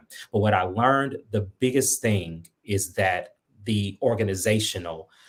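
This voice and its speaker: A somewhat breathy male voice, fairly low in pitch, with ordinary pitch variation and very even loudness. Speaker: school administrator, former choir teacher. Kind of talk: interview. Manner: fast.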